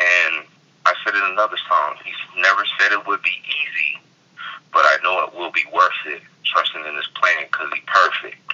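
Over noticeable background noise, a man with an American accent talks at a moderate pace with big swings in loudness. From US West Coast. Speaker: hip hop artist. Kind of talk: interview.

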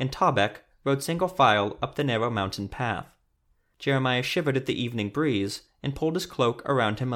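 The background stays quiet as someone reads aloud in a natural voice.

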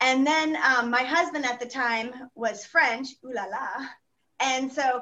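A woman with an American accent speaks at a very slow pace in a raised, projected voice. Her high pitch has a bright, sharp tone and ordinary variation. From Texas. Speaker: senior home medical care company representative. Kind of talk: podcast interview.

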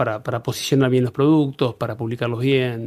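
This man speaks at a medium pitch with a Rioplatense accent. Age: 50s. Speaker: business owner. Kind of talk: casual interview.

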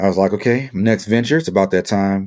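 A man speaks with an American accent. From US South, New Orleans. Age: 40s. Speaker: podcast host, military servicemember. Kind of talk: solo podcast monologue. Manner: casual, laid-back.

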